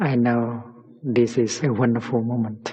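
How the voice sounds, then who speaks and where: A man speaks very slowly. His voice is soft-spoken. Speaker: meditation teacher. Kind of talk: guided meditation. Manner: relaxing, peaceful, soft-spoken.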